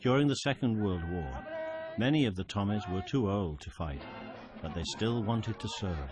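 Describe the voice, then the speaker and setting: The voice moves through very wide pitch swings at a moderate pace. Music plays in the background. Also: man, fairly low pitch for a man. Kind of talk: documentary narration.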